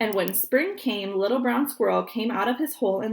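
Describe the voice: Pitch varies in an ordinary way through plain reading aloud.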